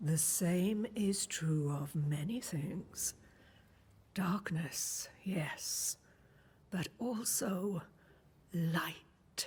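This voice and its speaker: A female-sounding voice performs a put-on character voice at medium pitch. She goes at a very slow pace with long, frequent pauses. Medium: video game. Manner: calm, cryptic, affectionate.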